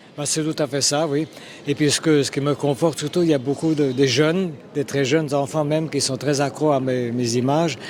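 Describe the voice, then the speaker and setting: Against noticeable background noise, a man with a fairly high pitch talks at a fairly quick pace with fairly even intonation. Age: 70s. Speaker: illustrator and cartoonist. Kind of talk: interview. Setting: trade fair. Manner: hesitant, many fillers and repetitions.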